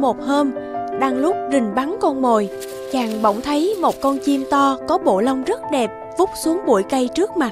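Over clear music in the background, a woman speaks at a moderate pace in a high voice with lively intonation.

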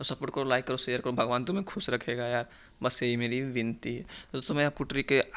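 Pitched at a medium level, a man speaks at a moderate pace. His pitch variation is ordinary. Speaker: tech YouTuber. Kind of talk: tutorial.

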